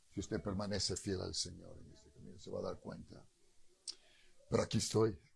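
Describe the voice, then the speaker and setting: Somewhat breathy, the voice moves at a fairly quick pace with long, frequent pauses, big swings in loudness and ordinary pitch variation. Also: man, fairly low pitch for a man. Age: 60s. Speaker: pastor. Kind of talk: sermon. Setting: church.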